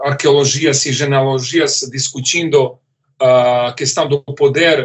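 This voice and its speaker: With a non-native accent, a man talks at a very slow pace in a monotone, flat intonation, his fairly high-pitched voice somewhat breathy. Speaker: philosophy professor. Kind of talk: lecture. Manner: halting, many repetitions and fillers.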